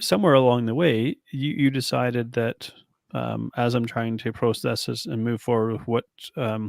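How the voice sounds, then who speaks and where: A man talks at a moderate pace and medium pitch in a plain, everyday voice with fairly even intonation, recorded very cleanly over a silent background with a dry, close sound and no echo. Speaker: podcast host and coach. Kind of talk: interview question.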